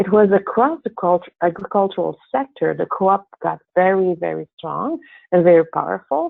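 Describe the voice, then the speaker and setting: A woman speaks with a French accent. Her pace is moderate and her pitch medium. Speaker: co-op developer and presenter. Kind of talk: webinar presentation. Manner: halting, with fillers.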